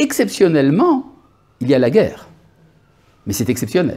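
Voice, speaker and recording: A man speaks with a fairly high pitch, a dark, mellow tone and vocal fry. His pitch swings very widely. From born in Algeria. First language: Hebrew (speaking French). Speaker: rabbi. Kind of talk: lecture. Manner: halting, with hesitations.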